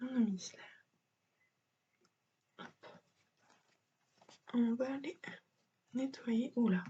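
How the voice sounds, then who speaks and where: Long, frequent pauses break up the very slowly paced speech. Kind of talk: makeup tutorial talk to camera.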